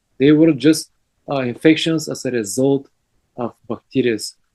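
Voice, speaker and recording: Heard in a dry, close recording with no echo, a man talks at a moderate pace. His fairly high voice has a dark, mellow tone and ordinary pitch variation. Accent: Bulgarian. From Bulgaria. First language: Bulgarian. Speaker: health lecturer. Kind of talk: lecture. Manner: halting.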